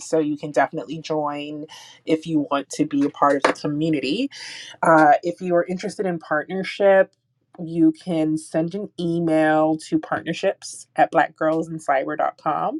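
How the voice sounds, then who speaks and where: A woman with a very deep, low voice talks at a moderate pace with fairly even intonation, recorded dry and close with no echo. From Jamaica, moved to US when young. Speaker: security engineer and nonprofit founder. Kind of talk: panel interview. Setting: audio chat room.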